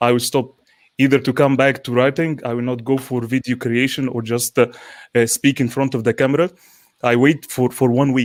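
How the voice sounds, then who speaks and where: Intonation stays monotone and flat as a man delivers his words at a fairly quick pace. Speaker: panel co-host. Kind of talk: live panel discussion. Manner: halting, repeats words.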